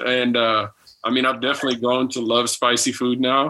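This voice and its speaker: Here a man talks at a medium pitch with an American accent. His tone is bright and sharp, and his pace is moderate. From Texas. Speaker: spouse of a medical trainee. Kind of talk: casual chat.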